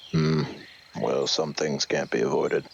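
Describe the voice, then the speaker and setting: Over clear background noise, a man puts on a character voice and speaks at a moderate pace. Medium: actual play. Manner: laconic, dry.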